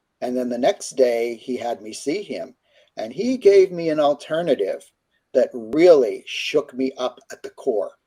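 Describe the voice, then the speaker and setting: With an American accent, the speaker has a dark, mellow tone, lively intonation and a fairly slow pace. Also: man, fairly high pitch for a man. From US, Pittsburgh, Pennsylvania. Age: 70s. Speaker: career counselor and author. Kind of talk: interview testimony.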